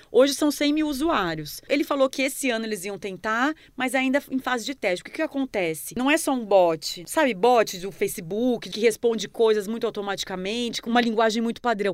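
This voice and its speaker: In a plain, everyday voice, a woman speaks at a fairly high pitch with lively intonation. She moves at a fairly quick pace with hardly any pauses. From Paraná, Brazil (interior, near Paraguay). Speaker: journalist. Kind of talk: casual interview.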